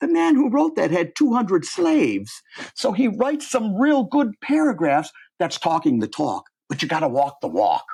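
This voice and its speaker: At a moderate pace, a man with a Midwestern accent speaks with very wide pitch swings. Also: quiet background. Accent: American Midwest. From US Midwest, Cleveland. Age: 70s. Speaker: professor. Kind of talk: interview.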